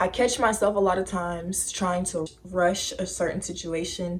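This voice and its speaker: Fairly even intonation and a moderate pace shape an unremarkable speaking voice. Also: woman. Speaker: lifestyle vlogger. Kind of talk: casual vlog talk.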